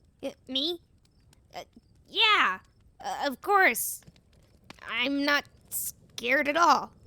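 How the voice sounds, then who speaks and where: In a put-on character voice pitched high, the speaker goes at a very slow pace with long, frequent pauses. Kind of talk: audio drama roleplay. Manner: nervous, hesitant.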